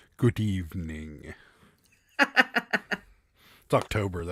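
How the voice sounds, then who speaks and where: In a very clean recording with a silent background, a man does a put-on character voice, very deep and low, delivered at a very slow pace. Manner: theatrical, spooky.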